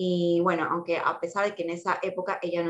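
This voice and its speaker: This woman has an unremarkable speaking voice, pitched fairly low, and she talks at a fairly quick pace. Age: 20s. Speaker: single mother sharing her experience. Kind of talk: casual chat.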